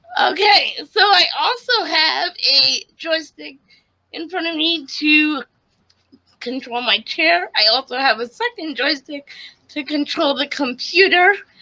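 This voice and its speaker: In an American accent, the raised, projected voice has a bright, sharp tone and lively intonation. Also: woman, high pitch for a woman, fairly slow pace. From US Northeast, Connecticut. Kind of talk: casual interview.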